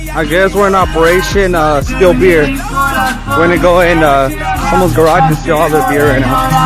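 A man at a moderate pace over loud music in the background. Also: dry sound with no echo. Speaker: vlogger. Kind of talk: casual vlog chat. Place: street. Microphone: phone near.

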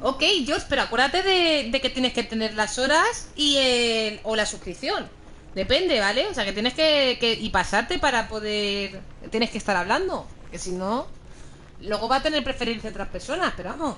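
Over light background noise, a woman with a high voice speaks at a moderate pace in an animated tone with lively intonation. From Spain. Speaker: video game streamer. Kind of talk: live gaming stream chat. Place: home room. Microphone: headset.

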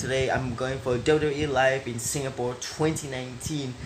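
Noticeable background noise sits behind a man as he speaks. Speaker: vlogger. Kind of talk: casual vlog chat. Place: home room. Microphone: phone near.

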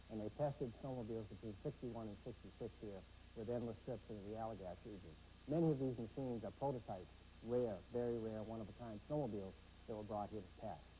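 A man talks at a very fast pace in a dark, mellow, somewhat breathy tone. His pitch varies in an ordinary way, with light background noise behind him. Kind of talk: interview answer. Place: hall. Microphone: lapel.

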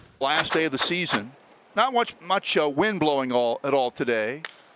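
A man's pitch swings very widely as he keeps a moderate pace amid noticeable background noise. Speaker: baseball play-by-play announcer. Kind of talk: live sports commentary, highlight reel of baseball play-by-play. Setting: minor league ballpark broadcast, highlights video.

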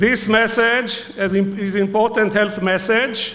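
With a playful tone, a man speaks at a high pitch with fairly even intonation. Noticeable background noise runs behind him. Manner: humorous, playful.

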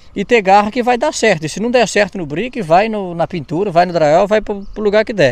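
A man with a Brazilian accent, high-pitched, talking at a fairly quick pace with lively intonation and hardly any pauses. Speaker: YouTuber interviewer. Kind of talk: casual interview chat.

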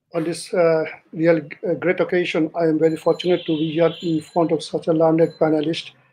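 At a fairly quick pace, a man talks in a high pitch with monotone, flat intonation. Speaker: speaker. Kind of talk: formal opening remarks. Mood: polite, grateful. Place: office. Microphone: video call.

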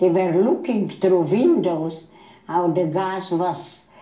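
A woman talks in a medium-pitched voice. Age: 80s+. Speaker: Holocaust survivor. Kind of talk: interview answer.

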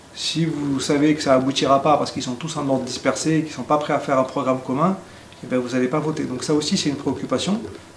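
Over light background noise, a man talks at a very fast pace with audible room echo. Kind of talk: interview answer.

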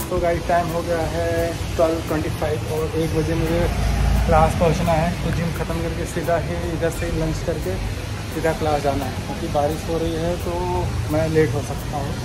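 The man's delivery is fairly slow. Behind him, music can be heard. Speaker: vlogger. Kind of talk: casual vlog chat. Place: cafe. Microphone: phone near.

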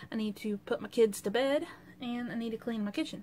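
There is light background noise as a woman talks with ordinary pitch variation. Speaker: vlogger. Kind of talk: casual vlog chat. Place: home room. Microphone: webcam.

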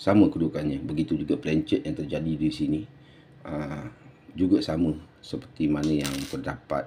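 A man's voice comes through with light noise in the background. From Malaysia. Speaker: coin collector and seller; seller. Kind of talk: video tutorial and sales pitch. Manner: halting, many fillers. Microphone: phone near.

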